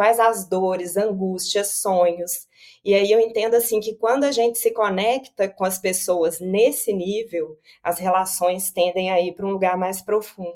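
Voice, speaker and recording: A woman speaks at a fairly slow pace with a Minas Gerais accent, her medium pitch carried on fairly even intonation. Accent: Minas Gerais (mineiro) Brazilian. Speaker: consumer behavior researcher and company founder. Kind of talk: interview.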